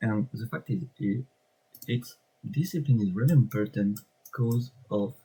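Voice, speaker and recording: With a French accent, a man speaks at medium pitch with ordinary pitch variation. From France. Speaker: trading content creator. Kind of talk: screen-share tutorial. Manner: halting, with many fillers.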